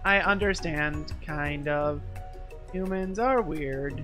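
A man's fairly high-pitched, put-on character voice at a very slow pace, with clear music in the background. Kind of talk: comic game voice-over. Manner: stiff, solemn.

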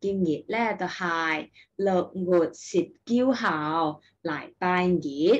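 Here is a woman with a Taishanese accent. Her voice is fairly low, with ordinary pitch variation. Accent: Taicheng Taishanese. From Taishan, Guangdong, China. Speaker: kindergarten teacher. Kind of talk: casual talk to camera, language-learning content. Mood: warm, friendly. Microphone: webcam.

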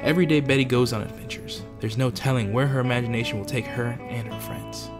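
The speaker moves along at a fairly quick pace while music runs in the background. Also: man. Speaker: voice actor. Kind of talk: trailer narration.

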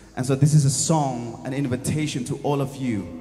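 Clear music runs in the background. Over it, a man speaks at a moderate pace. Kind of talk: spoken introduction to a song. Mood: earnest, uplifting. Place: stage. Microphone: handheld.

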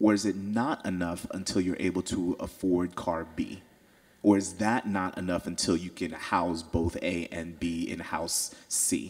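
In a quiet background, a man speaks fairly slowly with a very deep, low pitch and fairly even intonation. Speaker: audience member, artist; audience member. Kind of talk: audience question. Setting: stage with audience. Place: hall. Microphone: handheld.

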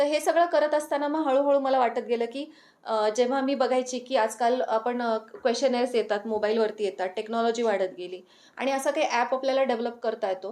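High pitch and ordinary pitch variation from a woman's voice. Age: 40s. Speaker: doctor and wellness coach. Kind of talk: interview.

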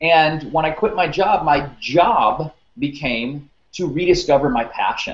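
Fairly slow, fairly high-pitched male speech with ordinary pitch variation and audible room echo. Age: 30s. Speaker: career coach. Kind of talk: interview. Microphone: webcam.

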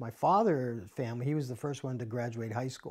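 A man with an American accent has a plain, everyday voice, medium pitch, and fairly even intonation against a quiet background. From US Northeast, New Jersey suburbs; New Jersey. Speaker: business professor. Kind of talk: interview answer. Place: home room. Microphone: lapel.

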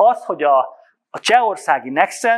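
His speech moves at a moderate pace. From Hungary. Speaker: business development manager; presenter. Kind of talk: conference presentation. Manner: halting. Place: hall. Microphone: handheld.

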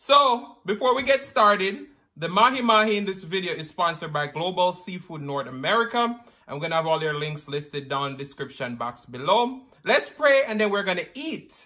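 A man uses a raised, projected voice with very wide pitch swings at a moderate pace. The background is quiet. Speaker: food vlogger. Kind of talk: casual vlog chat.

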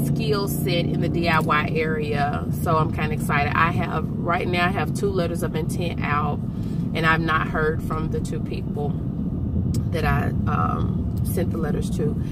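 A woman's voice, dry with no echo, against loud background noise. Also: moderate pace. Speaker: vlogger. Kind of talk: casual vlog chat. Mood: relaxed, upbeat. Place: car. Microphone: phone near.

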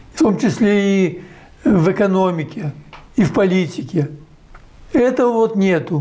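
With lively intonation, a man speaks at a very slow pace in a high pitch. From Belarus. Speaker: economist, former central bank head. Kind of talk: interview answer. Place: home room. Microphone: lapel.

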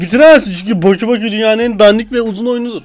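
The speech goes at a very fast pace. Noticeable background noise can be heard. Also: man. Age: 20s. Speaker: YouTuber. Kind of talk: meme reaction video. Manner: animated.

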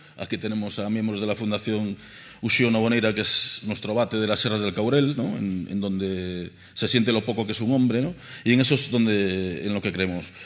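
A man talks at a moderate pace and a fairly low pitch. His pitch varies in an ordinary way against a quiet background. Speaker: archaeologist. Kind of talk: panel presentation. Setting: stage with audience. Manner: humorous. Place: hall.

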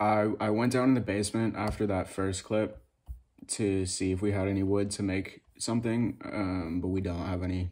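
Against a quiet background, a man speaks with a fairly low pitch. His intonation is monotone and flat. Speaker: vlogger. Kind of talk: casual vlog chat. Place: home room. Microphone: phone near.

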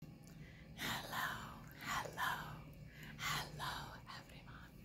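The voice is whispering. Its pace is very slow. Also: woman. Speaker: ASMR creator. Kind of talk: ASMR unboxing talk to camera. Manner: whispered. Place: home room. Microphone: phone near.

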